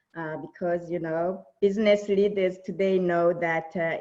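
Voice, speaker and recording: A woman with a Burundian accent speaks fairly slowly, her fairly low voice dark and mellow and her intonation fairly even. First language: Kirundi. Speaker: diversity and inclusion speaker. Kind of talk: keynote presentation.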